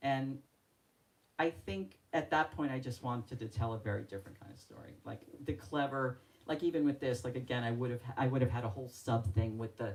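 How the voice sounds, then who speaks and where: This woman's pitch is very deep and low, with ordinary variation. Her loudness swings widely. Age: 60s. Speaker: novelist. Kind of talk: author talk at book event. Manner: halting.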